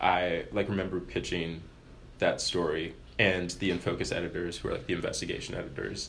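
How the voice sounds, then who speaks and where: A man talks with an American accent at a fairly quick pace. Audible room echo surrounds his voice. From US, Maryland. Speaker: student newspaper editor. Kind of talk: interview. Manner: casual, filler-heavy.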